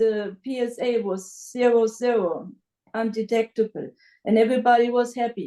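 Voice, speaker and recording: Her dark, mellow tone sits at a fairly high pitch as this woman talks at a moderate pace with fairly even intonation. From Germany. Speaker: patient's wife. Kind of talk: interview. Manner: halting.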